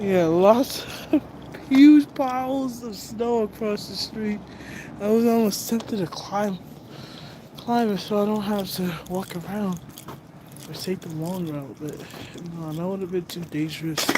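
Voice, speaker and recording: Noticeable background noise sits behind a woman with an American accent who speaks at a fairly slow pace with long, frequent pauses. Her intonation is lively, and her loudness swings widely. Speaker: livestreamer. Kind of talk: casual chat.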